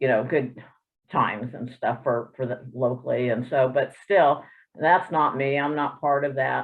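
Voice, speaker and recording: A woman speaks at a fairly slow pace. Her pitch is very deep and low, with ordinary variation. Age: 60s. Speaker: triathlete webinar participant. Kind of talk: personal testimony. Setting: video call.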